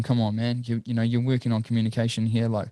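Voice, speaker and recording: A man with a New Zealand accent talks at a very fast pace, his medium-pitched voice dark and mellow in tone with monotone, flat intonation. The recording is very clean, with a silent background. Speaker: entrepreneur. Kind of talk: casual chat.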